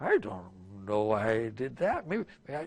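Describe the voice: Using a medium pitch, a man performs a put-on character voice. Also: fairly slow pace.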